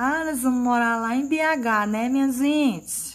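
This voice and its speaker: A woman does a sing-song, put-on character voice, high in pitch and at a fairly slow pace, on a very clean recording with a silent background. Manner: sing-song regional lilt.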